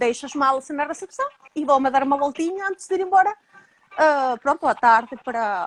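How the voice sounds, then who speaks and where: In a Spanish accent, a woman with a high pitch talks at a moderate pace with lively intonation, the sound dry and close with no echo. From Venezuela. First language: Spanish (speaking Portuguese). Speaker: emigrant interviewee. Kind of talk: interview storytelling.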